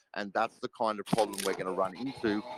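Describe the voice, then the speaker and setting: This man's fairly low voice has ordinary pitch variation and a dry, close sound with no echo. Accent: Australian. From Australia. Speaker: crypto project team member. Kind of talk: live audio AMA chat.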